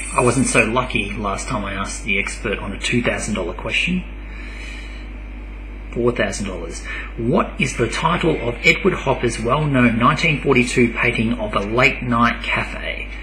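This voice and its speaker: With music in the background, a man in an Australian accent speaks at a moderate pace. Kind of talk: casual talk to camera.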